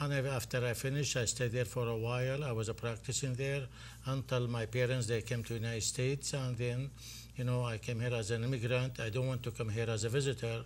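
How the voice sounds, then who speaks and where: A man speaks very fast at medium pitch with monotone, flat intonation. His voice is somewhat breathy, and its loudness is very even. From Iraq. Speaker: physician and festival board president. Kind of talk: interview.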